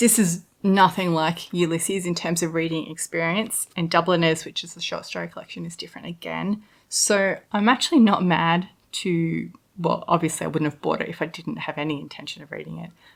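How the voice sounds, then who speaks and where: Recorded very cleanly against a silent background, a woman talks at a fairly quick pace. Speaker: book reviewer. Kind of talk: casual talk to camera.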